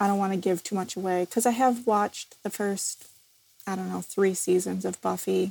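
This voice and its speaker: Her pace is fairly quick and her intonation fairly even. The woman has an ordinary speaking voice at a medium pitch. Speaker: podcast co-host. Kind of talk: casual chat.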